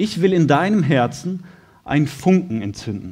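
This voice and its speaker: Somewhat breathy, this man's fairly high voice makes very wide pitch swings. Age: 30s. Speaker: lay preacher, firefighter by trade. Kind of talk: sermon.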